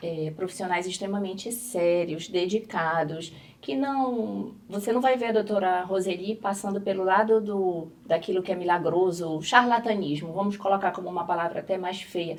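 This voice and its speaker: A woman with a medium-pitched voice talks at moderate speed, her pitch varying in an ordinary way. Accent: Pará. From northern Brazil, Belém do Pará. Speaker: dermatologist. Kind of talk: talk show interview.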